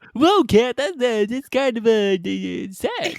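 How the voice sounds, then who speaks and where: Putting on a cartoonish character voice, a man speaks at an extremely high pitch and a fairly slow pace. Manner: animated, excitable.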